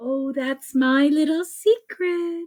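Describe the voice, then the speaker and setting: A woman's high-pitched put-on character voice, dry and close with no echo. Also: ordinary pitch variation. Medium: read story. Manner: warm, gentle.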